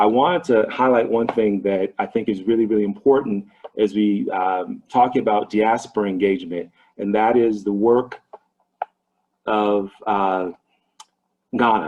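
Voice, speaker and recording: This man, with an American accent, has a fairly low pitch and ordinary pitch variation. He talks at a fairly slow pace with long, frequent pauses. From Ohio, US. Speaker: business trainer, investment advisor. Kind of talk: online training presentation.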